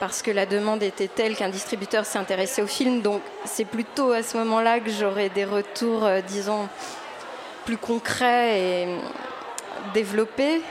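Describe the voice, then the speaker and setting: A woman's medium-pitched voice comes through over noticeable background noise. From Quebec. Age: 30s. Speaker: YouTuber and actress. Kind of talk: interview. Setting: live radio broadcast from a venue with audience. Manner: hesitant.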